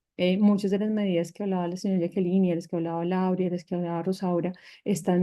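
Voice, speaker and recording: A woman's medium-pitched voice in a monotone, flat intonation. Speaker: panelist on peacebuilding and arts. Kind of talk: panel discussion. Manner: fast.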